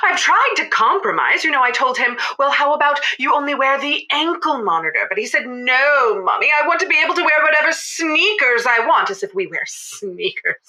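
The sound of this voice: A woman puts on a character voice, high-pitched with big pitch swings and a bright, sharp tone, talking at a fairly quick pace with few pauses over faint background noise.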